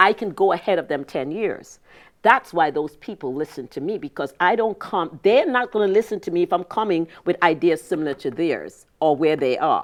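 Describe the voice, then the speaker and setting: A woman's normal speaking voice, fairly low-pitched, with lively intonation at a moderate pace against a quiet background. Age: 60s. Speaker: business consultant. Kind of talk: interview.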